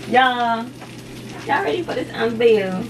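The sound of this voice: A woman's fairly high voice over faint background noise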